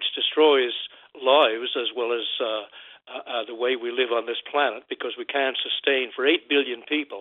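Man with a Newfoundland accent at a moderate pace. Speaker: caller. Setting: phone call. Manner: halting.

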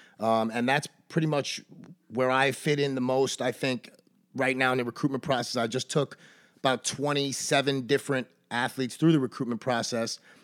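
A man with a New York accent, medium pitch, monotone flat intonation, a fairly quick pace and a dry, close sound with no echo. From Brooklyn, New York City. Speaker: baseball coach. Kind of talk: casual chat.

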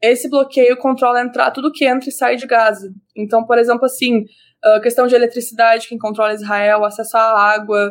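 A woman with a high pitch talks at a fairly quick pace with fairly even intonation. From Brazil, Rio Grande do Sul. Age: 20s. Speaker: psychology student and social media commentator. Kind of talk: interview.

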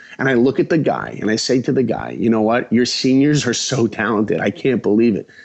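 A man talks at a fairly quick pace with hardly any pauses. His medium-pitched voice carries vocal fry and ordinary pitch variation. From Long Island, New York. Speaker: animation director. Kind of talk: interview storytelling. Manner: animated.

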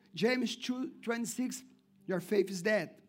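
Here a man's voice sits high in pitch. It rises and falls with ordinary variation. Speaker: pastor. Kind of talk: sermon. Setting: church. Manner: animated, call-and-response, urging the congregation to say amen; repetitive, emphatic preaching cadence with stumbles.

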